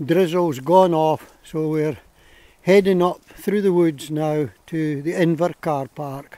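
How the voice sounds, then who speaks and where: A man speaks at a very slow pace in a dark, mellow tone with fairly even intonation. The sound is dry and has no echo. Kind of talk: casual walk commentary. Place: forest. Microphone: phone near.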